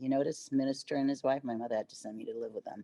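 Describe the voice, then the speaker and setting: Her voice is very deep and low, with a dark, mellow tone and ordinary pitch variation. The sound of this woman's voice is dry and close, with no echo. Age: 70s. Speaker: actress and dancer. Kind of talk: interview. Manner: halting, many fillers.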